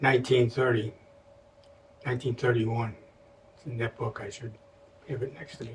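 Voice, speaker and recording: This man speaks in a medium pitch with an American accent, somewhat breathy and at a fairly quick pace, yet with long, frequent pauses. His intonation stays flat and monotone while his loudness swings widely. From US Midwest, Chicago. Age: 90s. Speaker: elderly interviewee. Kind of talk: oral history interview. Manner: halting.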